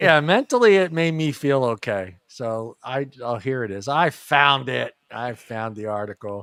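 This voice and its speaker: In a plain, everyday voice, a man talks at medium pitch and a fairly slow pace with lively intonation and hardly any pauses, the sound dry and close with no echo. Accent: American. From US East Coast. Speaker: podcast host. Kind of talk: casual chat.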